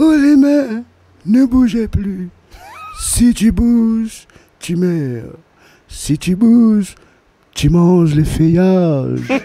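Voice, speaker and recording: This is a put-on character voice with a fairly high pitch. It moves at a very slow pace, with long, frequent pauses. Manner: gruff, wise.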